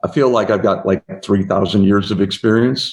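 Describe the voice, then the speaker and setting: With a normal speaking voice, this man moves fairly quickly through his words, his pitch varying in an ordinary way. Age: 60s. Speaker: biotech company founder and CEO. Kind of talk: interview.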